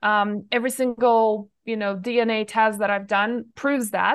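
At a moderate pace, a woman with an unremarkable speaking voice talks in a fairly high pitch. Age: 40s. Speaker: nutrition expert and herbalist. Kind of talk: interview. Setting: remote call.

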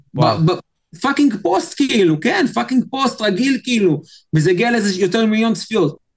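Lively intonation at a fairly quick pace, with very even loudness. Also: man, high pitch for a man. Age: 30s. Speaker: social media expert. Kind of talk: interview. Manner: animated, repetitive fillers.

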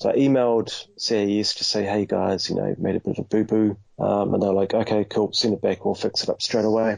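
A man with a New Zealand accent speaks at a fairly quick pace. His intonation is monotone and flat. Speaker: toy collector. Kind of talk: casual chat.

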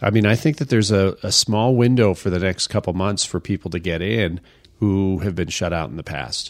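Using a normal speaking voice, a man talks at a fairly quick pace with a fairly low pitch and ordinary pitch variation. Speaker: podcast host and real estate instructor. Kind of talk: casual interview.

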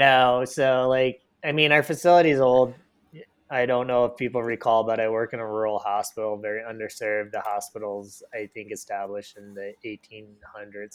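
A man with a plain, everyday voice and an American accent speaks at a moderate pace and medium pitch, with ordinary pitch variation and big swings in loudness. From Michigan. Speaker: physical therapist assistant. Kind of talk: casual chat.

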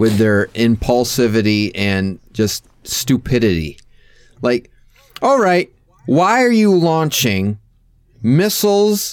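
A man's medium-pitched, fairly slow delivery, lively intonation, a plain, everyday voice. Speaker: podcast host. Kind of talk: casual chat. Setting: video call.

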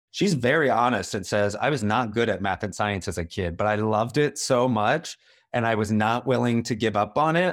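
This man has an unremarkable speaking voice, fairly low in pitch with ordinary variation. He moves at a fairly quick pace in a very clean recording with a silent background. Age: 40s. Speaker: documentary director. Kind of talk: interview.

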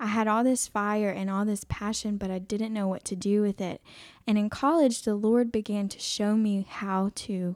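A woman with an American accent speaks at a moderate pace in a medium pitch, her intonation fairly even. She has a plain, everyday voice, and the recording is very clean with a silent background. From South Carolina, Aiken. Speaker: pregnancy care center worker. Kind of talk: testimony. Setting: studio.

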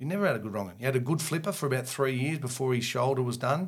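With an Australian accent, a man speaks at medium pitch in a somewhat breathy voice with ordinary pitch variation, on a very clean recording with a silent background. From Victoria, Australia. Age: 50s. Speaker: retired cricketer and coach. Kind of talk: casual interview.

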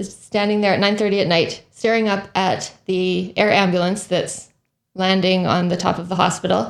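Speaking at a moderate pace, a woman holds a medium pitch in monotone, flat intonation, on a very clean recording with a silent background. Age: 40s. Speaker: podcast host and physician. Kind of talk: interview. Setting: living room.

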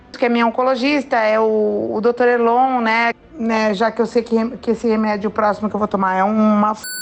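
Noticeable background noise sits under the recording. A woman with a fairly high voice speaks at a moderate pace. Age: 50s. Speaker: cancer patient sharing her experience. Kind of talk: testimony. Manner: spontaneous, lively.

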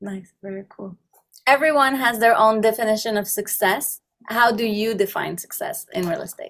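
A woman's fairly high, unremarkable speaking voice at a moderate pace, with ordinary pitch variation and big swings in loudness. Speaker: podcast host. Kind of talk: podcast interview.

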